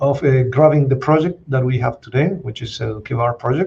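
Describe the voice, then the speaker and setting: A man speaks with an Argentine accent at a moderate pace. His voice is somewhat breathy, with fairly even intonation. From Argentina. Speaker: mining company CEO and geologist. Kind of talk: interview.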